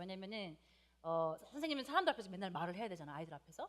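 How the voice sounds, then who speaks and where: This speaker has a slight non-native accent and very wide pitch swings. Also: woman. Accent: slight non-native Korean pronunciation. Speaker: preacher. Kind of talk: sermon. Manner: hesitant, many fillers.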